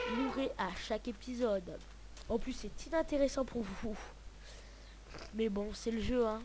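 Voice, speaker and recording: The delivery is fairly slow. Long pauses come often. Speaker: gaming youtuber. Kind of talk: let's play commentary. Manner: sometimes soft-spoken; hesitant.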